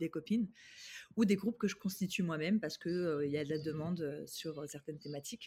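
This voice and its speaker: A somewhat breathy woman speaks at a fairly quick pace with ordinary pitch variation, on a very clean recording with a silent background. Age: 30s. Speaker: image consultant and confidence coach. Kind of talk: casual interview. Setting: at home.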